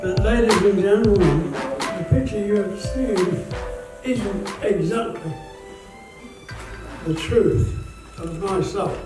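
A man's high-pitched, very slow speech with ordinary pitch variation and long, frequent pauses, clear music in the background and audible room echo. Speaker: war veteran. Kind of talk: speech to an audience. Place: hall.

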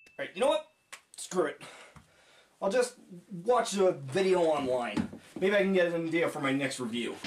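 Light background noise accompanies a man at a moderate pace. His high pitch swings very widely. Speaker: amateur reviewer in a skit. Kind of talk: scripted comedy monologue. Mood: frustrated, giving up. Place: home room. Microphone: camera far.

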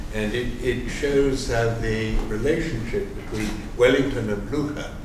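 Noticeable background noise and audible room echo fill the recording. A man speaks at a fairly slow pace. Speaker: economics professor and panel moderator. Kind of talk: panel discussion. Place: hall.

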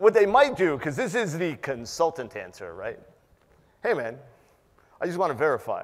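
Pitched high, a man's voice takes very wide pitch swings and big swings in loudness, keeping a moderate pace broken by long, frequent pauses. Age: 50s. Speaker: penetration tester and conference speaker; conference speaker. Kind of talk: conference talk. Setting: stage with audience. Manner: animated. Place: hall.

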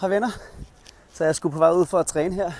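A high-pitched man at a fairly quick pace, with ordinary pitch variation and a dry sound with no echo. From Denmark, Kirke Værløse (north Zealand); Denmark. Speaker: coach and vlogger; coach, vlogger. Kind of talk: casual vlog monologue. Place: street. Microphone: earbuds.

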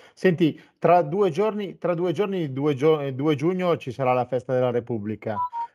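Against a quiet background, a man with a fairly high, dark and mellow voice talks at a fairly slow pace with lively intonation. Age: 50s. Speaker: web TV host; interview host. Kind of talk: interview. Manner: halting. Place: studio.

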